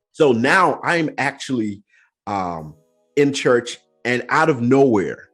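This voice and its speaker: With music in the background, a man speaks very slowly at a medium pitch. His intonation is lively, with long, frequent pauses. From Nigeria. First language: Yoruba. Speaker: podcast host. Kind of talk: casual chat.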